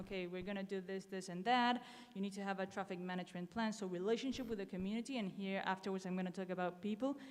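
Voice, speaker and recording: The pace is very fast. Intonation stays fairly even. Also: woman. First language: Spanish. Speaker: conference speaker, renewable energy professional. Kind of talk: conference talk with slides. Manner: hesitant, many fillers.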